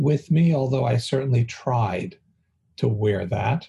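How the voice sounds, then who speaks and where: A man's somewhat breathy, dark, mellow tone at medium pitch, with lively intonation and a fairly slow pace. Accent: American. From US West Coast, San Francisco. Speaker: rabbi and theology dean. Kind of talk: casual chat.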